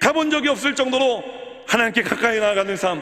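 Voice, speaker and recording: A man's raised, projected voice over noticeable background noise. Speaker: pastor. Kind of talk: sermon. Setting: church. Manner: fast.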